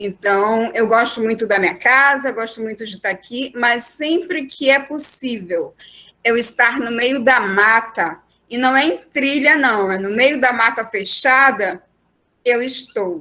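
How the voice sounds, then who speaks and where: Recorded very cleanly against a silent background, a woman speaks with a fairly high pitch and a bright, sharp tone. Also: ordinary pitch variation. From Amazonas interior, Brazil (Codajás). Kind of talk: group discussion, personal reflection. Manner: halting, with repetitions.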